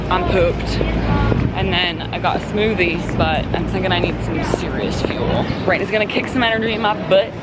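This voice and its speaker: Music plays behind a woman speaking at a moderate pace, the sound dry with no echo. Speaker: lifestyle vlogger. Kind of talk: casual vlog chat. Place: street. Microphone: phone near.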